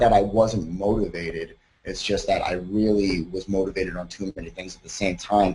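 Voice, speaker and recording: A man speaks with a fairly low pitch and a somewhat breathy voice, his loudness swinging widely. He keeps a moderate pace with hardly any pauses. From US Northeast, Long Island, New York. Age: 30s. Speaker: college student. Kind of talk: personal testimony. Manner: casual, with fillers.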